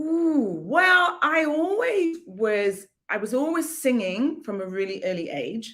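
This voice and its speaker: A woman speaks very slowly in a high voice, with hardly any pauses. Her pitch swings very widely. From northeast England, Newcastle. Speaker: singer and vocal coach. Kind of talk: casual interview. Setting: livestream video call.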